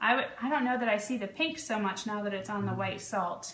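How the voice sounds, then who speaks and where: Noticeable background noise and audible room echo surround this recording. A woman with an American accent speaks at a medium pitch with ordinary pitch variation. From Vermont, US (Cambridge). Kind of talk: live stream sales chat. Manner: animated.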